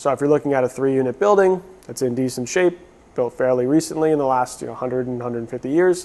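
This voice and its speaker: Over noticeable background noise, a man with a medium-pitched voice talks at a very fast pace with ordinary pitch variation. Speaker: podcast host, loan officer. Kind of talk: solo podcast explainer. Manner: casual, conversational.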